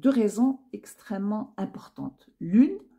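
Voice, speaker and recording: Very slowly, a woman speaks in a fairly high, somewhat breathy voice with a dark, mellow tone and lively intonation. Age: 60s. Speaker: YouTuber giving personal commentary. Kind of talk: personal monologue to camera. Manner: hesitant, many fillers and repetitions.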